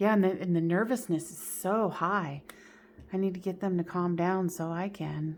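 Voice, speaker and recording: Music plays in the background behind a voice with fairly even intonation. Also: woman, medium pitch for a woman, moderate pace. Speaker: tarot reader and medium. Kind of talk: tarot reading.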